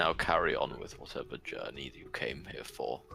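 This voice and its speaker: A man puts on a character voice over clear background noise. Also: moderate pace. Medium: actual play. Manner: slow, formal, terse.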